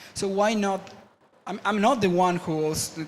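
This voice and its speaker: With a Spanish accent, a man speaks at a high pitch with ordinary pitch variation, amid audible room echo and noticeable background noise. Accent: Spanish-accented English, non-native. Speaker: media artist and engineer, panel speaker. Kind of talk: conference talk. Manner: halting, many false starts and fillers.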